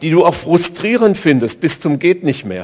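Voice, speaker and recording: This man's intonation is lively. Vocal fry runs through his voice. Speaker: pastor. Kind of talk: sermon.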